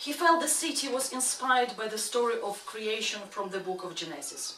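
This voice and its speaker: Amid noticeable background noise and audible room echo, a woman with a non-native accent and a fairly high pitch speaks at a moderate pace with very wide pitch swings. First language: not English. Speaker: actress. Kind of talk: reading aloud.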